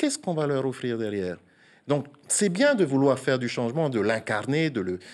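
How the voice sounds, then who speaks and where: A man speaks at a fairly quick pace. His intonation is lively. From French Polynesia. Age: 40s. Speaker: senator. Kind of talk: TV interview. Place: studio. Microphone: lapel.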